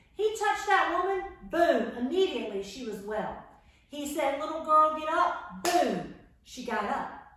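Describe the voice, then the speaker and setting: A woman with a high pitch makes very wide pitch swings, heard in audible room echo. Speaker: children's Bible class teacher. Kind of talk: children's Bible lesson. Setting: home, camera across the room. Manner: loud. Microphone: camera far across the room.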